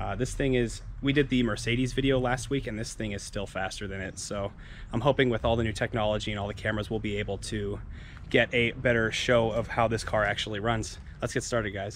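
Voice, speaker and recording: Vocal fry runs through a man's fairly quick speech, recorded dry with no echo and light background noise. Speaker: car vlogger. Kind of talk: casual vlog chat. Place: street. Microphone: phone near.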